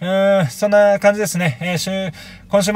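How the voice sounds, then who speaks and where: A man is speaking. The sound is dry, with no echo. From Japan. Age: 30s. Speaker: YouTuber vlogging watch-shop visits; watch hobby vlogger. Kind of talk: casual vlog monologue; casual vlog chat. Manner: hesitant, many fillers. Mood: upbeat, chatty. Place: home room.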